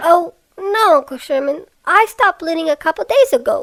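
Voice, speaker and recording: This cartoonish character voice sounds female and sits at an extremely high pitch. It moves at a moderate pace. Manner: self-pitying.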